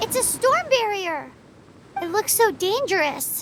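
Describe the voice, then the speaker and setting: A put-on character voice, pitched extremely high and delivered at a fairly slow pace. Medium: video game. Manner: cheeky, excitable.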